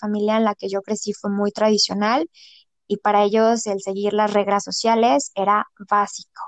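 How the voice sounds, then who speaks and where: A woman speaks at a moderate pace in a normal speaking voice. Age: 30s. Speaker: saleswoman. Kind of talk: personal testimony in casual interview.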